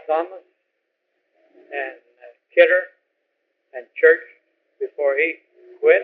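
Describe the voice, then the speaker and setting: With an American accent, this man delivers his words very slowly. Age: 70s. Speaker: retired fire chief. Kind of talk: oral history interview.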